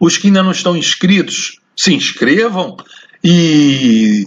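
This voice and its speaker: A man speaks at a very slow pace in a high voice. His pitch swings very widely. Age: 70s. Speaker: surveying professor. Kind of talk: lecture. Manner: halting.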